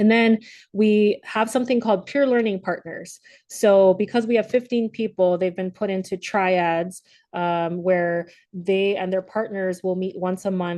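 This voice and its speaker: A woman's medium-pitched voice with a dark, mellow tone and fairly even intonation against a quiet background. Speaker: leadership program facilitator. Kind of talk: virtual presentation. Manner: halting, many fillers; fast.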